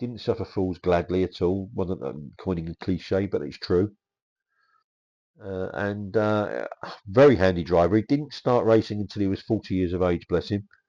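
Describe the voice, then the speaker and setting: Speaking over a quiet background with an English accent, a man has a very deep, low pitch, a dark, mellow tone, ordinary pitch variation and a moderate pace. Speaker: kit car magazine presenter. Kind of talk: scripted narration. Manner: halting.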